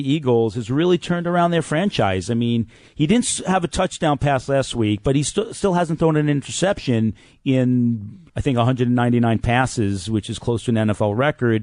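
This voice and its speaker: A man with a medium pitch speaks at a moderate pace with lively intonation, very even loudness and hardly any pauses, in an ordinary speaking voice. The sound is dry and close, with no echo. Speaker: radio talk show host. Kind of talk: sports talk radio.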